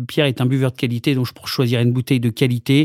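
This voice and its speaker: A man speaks at a fairly quick pace in a normal speaking voice, his pitch medium. The sound is dry and close with no echo, on a very clean recording with a silent background. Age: 40s. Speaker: comedian. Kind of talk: casual interview.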